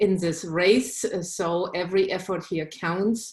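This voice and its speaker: A woman's medium-pitched voice with a German accent and fairly even intonation. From Germany. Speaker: state legislator. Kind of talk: candidate speech on video call. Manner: hesitant, many fillers.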